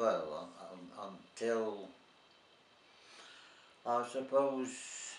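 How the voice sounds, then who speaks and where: A man with a medium pitch speaks at a very slow pace, leaving long, frequent pauses. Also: ordinary pitch variation. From Plymouth, England. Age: 80s+. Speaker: war veteran. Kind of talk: personal war memories told to camera. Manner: hesitant, halting.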